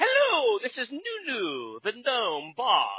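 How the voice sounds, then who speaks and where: Using a put-on character voice, the man pitches it extremely high. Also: fairly slow pace. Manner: cartoonish, robotic gnome voice.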